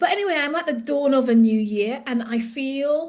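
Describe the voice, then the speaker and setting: This woman speaks with ordinary pitch variation. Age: 50s. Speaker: leadership coach. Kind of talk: casual vlog update. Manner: hesitant, with fillers.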